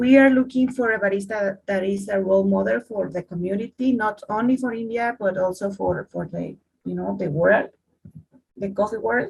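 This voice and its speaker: A woman's somewhat breathy, medium-pitched voice with a Spanish accent, at a moderate pace with ordinary pitch variation. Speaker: coffee competition judge. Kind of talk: online workshop. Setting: video call. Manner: halting, repeats words.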